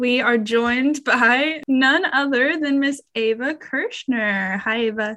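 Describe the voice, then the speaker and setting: A woman speaks at a very slow pace in a raised, projected voice with a high pitch and ordinary pitch variation. Her loudness stays very even, and there are hardly any pauses. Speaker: podcast host, journalism student. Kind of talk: casual chat.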